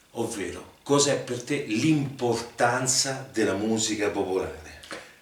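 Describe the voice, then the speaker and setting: Against noticeable background noise, a man talks very slowly at a medium pitch with ordinary pitch variation. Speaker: interviewer, host. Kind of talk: interview questions.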